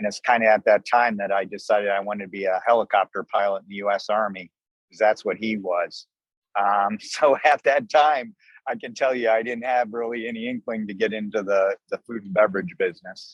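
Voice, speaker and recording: In an American accent, a man with a normal speaking voice and fairly low pitch talks at a fairly quick pace, his intonation fairly even and his loudness swinging widely. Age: 60s. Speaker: restaurant owner, army veteran. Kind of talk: interview.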